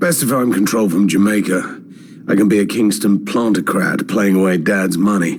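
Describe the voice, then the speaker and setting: In a raspy, put-on character voice, a man talks at a moderate pace and fairly low pitch with fairly even intonation and very even loudness. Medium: audio drama. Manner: cool, terse.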